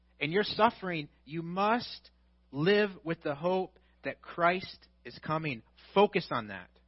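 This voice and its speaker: A man with a Midwestern American accent speaks very slowly in a high voice. His intonation is lively, with big swings in loudness. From US Midwest. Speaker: pastor. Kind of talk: sermon.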